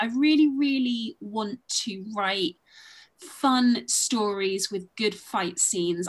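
Somewhat breathy and medium in pitch, a woman speaks with lively intonation in a southern English accent. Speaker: boxing and wrestling historian. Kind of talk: interview. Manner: hesitant, many filler ums.

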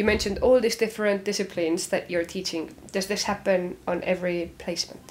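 Fairly quick and with hardly any pauses, a woman speaks in an unremarkable speaking voice at a medium pitch, with fairly even intonation. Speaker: podcast host, linguistics student. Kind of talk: casual interview.

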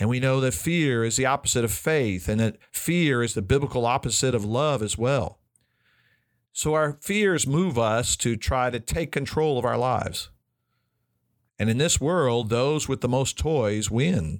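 With an ordinary speaking voice, a man talks at a fairly slow pace and medium pitch, his intonation lively and his loudness very even, on a very clean recording with a silent background. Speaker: biblical counselor and podcast host. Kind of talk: recorded teaching talk.

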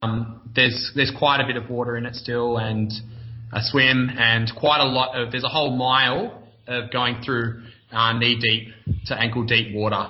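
A man with an Australian accent at medium pitch and moderate pace, in monotone, flat intonation, with audible room echo and noticeable background noise. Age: 20s. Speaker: obstacle course racer. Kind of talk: casual interview.

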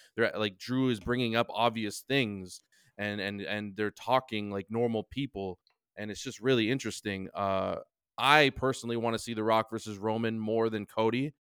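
A man speaks at a moderate pace with a normal speaking voice, medium pitch, and fairly even intonation. The sound is dry and close, with no echo. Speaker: podcast co-host. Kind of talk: casual chat. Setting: remote recording from home.

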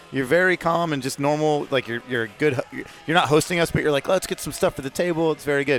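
With an American accent, a man talks at a very fast pace with hardly any pauses, in a fairly high voice with ordinary pitch variation, over noticeable background noise. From Atlanta, US South. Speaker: podcast co-host, racing driver. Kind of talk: casual chat.

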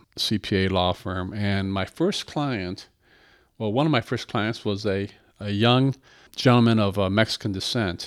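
This man has a Midwestern American accent. His voice is fairly low in pitch, at a moderate pace. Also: very clean recording, silent background. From Michigan, Battle Creek. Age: 60s. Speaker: tax attorney and accountant. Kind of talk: interview.

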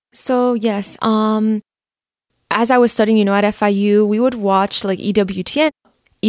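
A woman with an American accent talks in an unremarkable speaking voice at a fairly high pitch. Her intonation is fairly even, her loudness very even, and the sound dry and close with no echo. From Miami, Florida. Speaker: recent college graduate. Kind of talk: casual interview.

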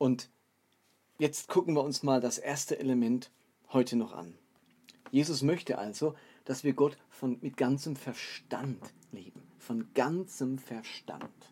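A dark, mellow tone at a very slow pace, with long, frequent pauses, big swings in loudness, and ordinary pitch variation. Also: man, medium pitch for a man. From Baden, southern Germany (Karlsruhe). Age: 40s. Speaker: pastor and podcast host. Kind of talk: solo podcast talk, sermon-like teaching.

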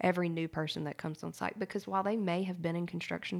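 On a very clean recording with a silent background, a woman uses a normal speaking voice at a fairly quick pace with ordinary pitch variation. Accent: American. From US South, small-town Louisiana. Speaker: company communications staff with PR background. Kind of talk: casual workplace discussion.

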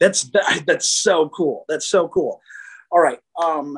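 Pitched high, this man talks with an American accent. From Chicago. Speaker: musician and restaurateur, podcast fan interviewing the host. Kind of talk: casual interview.

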